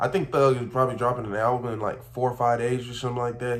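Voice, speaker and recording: There is audible echo in the room. A man speaks in a somewhat breathy voice. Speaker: reaction youtuber. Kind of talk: casual reaction commentary. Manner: slurred.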